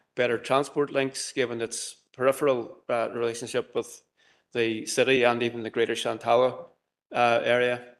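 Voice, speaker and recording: A man with a Derry accent at a medium pitch, moderate pace and monotone, flat intonation. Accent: Northern Irish (Derry). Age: 60s. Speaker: community presenter. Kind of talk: presentation to council committee. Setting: council chamber hybrid meeting. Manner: hesitant, many fillers.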